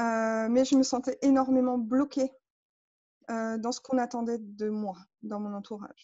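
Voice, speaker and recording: Fairly even intonation from a woman with a high pitch. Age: 30s. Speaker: coaching client. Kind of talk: personal testimony interview. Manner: hesitant, many fillers.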